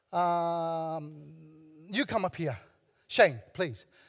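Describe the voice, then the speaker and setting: A man in a very clean recording with a silent background. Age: 70s. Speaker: pastor. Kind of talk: sermon. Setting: church. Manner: animated.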